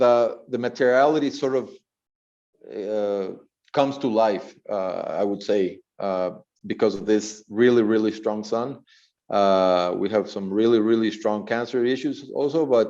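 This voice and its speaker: A man with a Spanish accent and a dark, mellow tone, fairly slow and fairly even in intonation, with long, frequent pauses. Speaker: architect. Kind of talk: lecture. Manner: halting, many fillers and repetitions.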